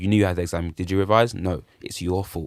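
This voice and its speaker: Speaking at a very fast pace in a London accent, a man uses an animated tone and a fairly low pitch, captured in a very clean recording with a silent background. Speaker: musician. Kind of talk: casual chat.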